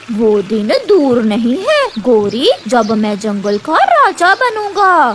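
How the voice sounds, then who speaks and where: A cartoonish character voice, fairly high in pitch with very wide pitch swings, at a very slow pace over clear background noise. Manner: sly, gloating.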